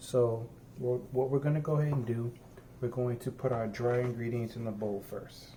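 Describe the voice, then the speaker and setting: A man with a dark, mellow, somewhat breathy voice speaks at medium pitch and a moderate pace, his intonation fairly even. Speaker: home cooking vlogger. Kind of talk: cooking tutorial. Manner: soft-spoken; halting.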